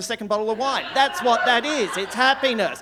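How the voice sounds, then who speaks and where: Over noticeable background noise, a man with an Australian accent talks at a very fast pace with ordinary pitch variation. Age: 60s. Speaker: stand-up comedian. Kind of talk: stand-up. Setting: stage with audience. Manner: animated.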